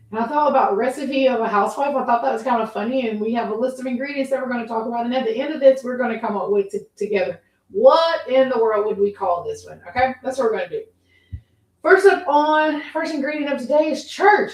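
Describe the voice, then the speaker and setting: A woman with a Southern US accent speaks at a very fast pace in a high pitch. Her loudness swings widely. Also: lively intonation. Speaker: podcast host, housewife. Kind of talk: casual livestream chat. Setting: live video stream.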